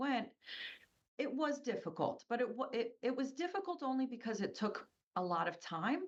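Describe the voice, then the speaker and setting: A woman with an American accent speaks at a moderate pace in a high voice, her pitch swinging very widely. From US, Polish immigrant family. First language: Polish. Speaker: business owner. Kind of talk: interview.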